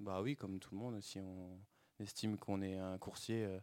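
A man's fairly low, monotone voice with flat intonation, in a dry, close sound with no echo. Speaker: professional cyclist. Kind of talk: interview.

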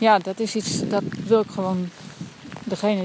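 With noticeable background noise behind her, a woman speaks at a medium pitch in a monotone, flat intonation. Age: adult with a family. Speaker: coach with clients, podcaster. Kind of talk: walking monologue podcast. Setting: outdoors, walking in rainy forest.

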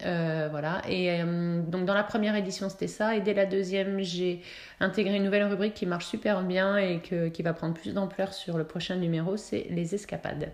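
Her pitch sits in the medium range for a woman. She speaks in a monotone, flat intonation. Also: moderate pace. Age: 40s. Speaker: entrepreneur, city guide creator. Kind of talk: interview. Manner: chatty; hesitant, many fillers.

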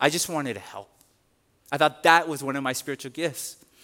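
The man speaks in an animated tone. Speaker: pastor. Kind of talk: sermon. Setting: church.

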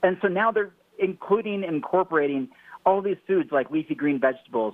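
A man talks fairly quickly in a plain, everyday voice, with ordinary pitch variation. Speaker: nutrition book co-author. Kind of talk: interview.

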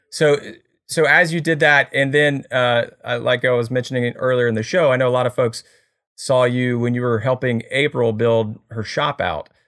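The recording is very clean, with a silent background. A man talks at a moderate pace in a medium pitch, using ordinary pitch variation. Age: 40s. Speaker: podcast host and content creator. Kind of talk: casual interview. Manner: animated.

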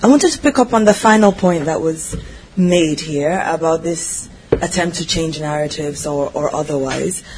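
Moderate pace against noticeable background noise. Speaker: audience member asking a question. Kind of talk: audience question. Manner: hesitant.

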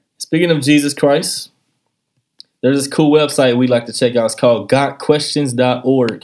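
His tone is animated and his pitch fairly high. The man's pitch variation is ordinary. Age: 20s. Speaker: podcast host. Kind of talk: casual chat.

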